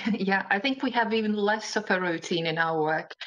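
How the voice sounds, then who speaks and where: Speaking at a fairly quick pace, a woman has a Latvian accent. Her pitch varies in an ordinary way. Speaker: interpreter. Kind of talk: panel discussion.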